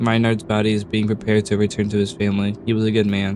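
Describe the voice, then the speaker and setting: Over noticeable background noise, a man talks at a very fast pace in a monotone, flat way. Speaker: let's play gamer. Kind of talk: reading in-game note aloud.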